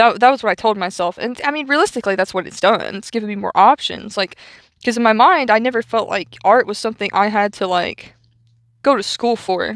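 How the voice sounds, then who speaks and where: A woman speaks at a fairly quick pace. The sound is dry and close with no echo, on a very clean recording with a silent background. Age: 20s. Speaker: artist and video creator. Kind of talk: casual chat while drawing. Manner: halting, many fillers.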